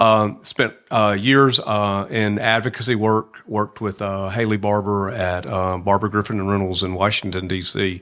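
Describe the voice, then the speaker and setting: In a very clean recording with a silent background, a man speaks with a fairly low pitch. His pace is moderate with hardly any pauses, and his intonation is fairly even. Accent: Southern US. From US South, lower Alabama. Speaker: nonprofit executive director. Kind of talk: podcast interview. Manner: hesitant, many fillers.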